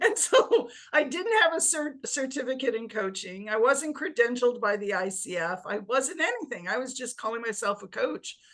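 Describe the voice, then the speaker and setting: A woman with a high voice and lively intonation speaks with hardly any pauses. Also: moderate pace. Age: 60s. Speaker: career coach. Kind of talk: interview.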